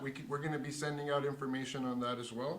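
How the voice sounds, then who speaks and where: A fairly high-pitched male voice with ordinary pitch variation, plus noticeable background noise and audible room echo. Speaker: show host. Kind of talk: live show closing thanks. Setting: studio, live stream.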